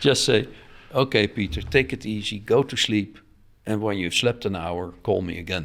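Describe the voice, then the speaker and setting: A man with a Dutch accent speaks at a moderate pace in a fairly low voice with ordinary pitch variation, in a very clean recording with a silent background. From Netherlands. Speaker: offshore sailor. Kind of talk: interview. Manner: halting.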